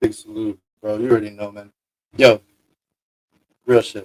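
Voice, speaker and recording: A man speaks in a medium pitch with monotone, flat intonation. The sound is dry and close, with no echo. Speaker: podcast host.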